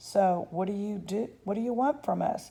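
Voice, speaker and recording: Doing a growling, put-on character voice, a woman speaks at a medium pitch and a moderate pace. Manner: growling, suspicious.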